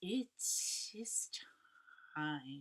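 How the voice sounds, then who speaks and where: A put-on character voice is delivered at a middle pitch. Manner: booming.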